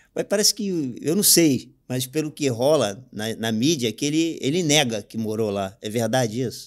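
In a quiet background, a man speaks at a moderate pace with lively intonation and hardly any pauses. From Rio de Janeiro, Realengo; Rio de Janeiro. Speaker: podcast host. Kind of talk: casual interview chat. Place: studio. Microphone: studio mic.

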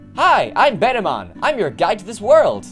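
Clear music plays behind a put-on character voice that sits at a fairly high pitch and moves at a moderate pace. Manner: acted character voice.

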